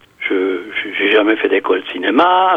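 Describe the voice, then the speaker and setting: A man's speech is accompanied by noticeable background noise. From Switzerland, canton of Fribourg. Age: 70s. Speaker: amateur filmmaker. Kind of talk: radio interview. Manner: halting, many hesitations and repetitions.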